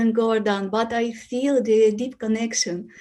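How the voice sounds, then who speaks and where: The speaker has a non-native accent and a dark, mellow tone, talking at a fairly slow pace. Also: woman. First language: Russian. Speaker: yoga student. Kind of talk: Q&A testimony. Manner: halting.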